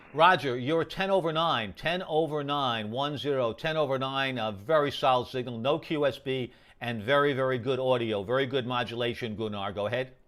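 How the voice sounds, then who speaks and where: With a New York accent, a man talks at medium pitch with ordinary pitch variation and hardly any pauses. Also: fairly quick pace. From New York, Queens. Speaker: amateur radio operator. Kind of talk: radio contact exchange. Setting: amateur radio. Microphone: very good audio on the air.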